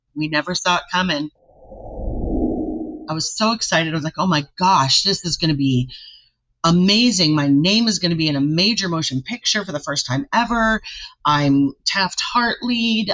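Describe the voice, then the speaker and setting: A woman with an unremarkable speaking voice, fairly low in pitch, at a moderate pace. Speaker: singer. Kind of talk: interview answer.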